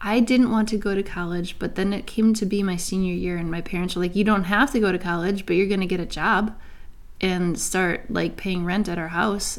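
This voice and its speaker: A woman speaks at a moderate pace with a medium pitch. She has an ordinary speaking voice. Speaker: podcast co-host, mother. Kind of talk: casual chat.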